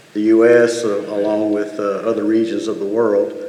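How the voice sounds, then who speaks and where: A man with a fairly low pitch speaks at a moderate pace and fairly even intonation, with audible room echo and noticeable background noise. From outside Michigan. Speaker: school board candidate. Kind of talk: candidate forum statement. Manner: halting, many fillers.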